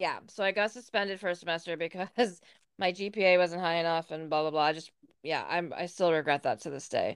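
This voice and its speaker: A woman with an American accent has a normal speaking voice, talking at a fairly quick pace in a fairly low pitch with ordinary pitch variation. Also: quiet background. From Northern New York. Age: 30s. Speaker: podcast co-host. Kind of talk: casual chat.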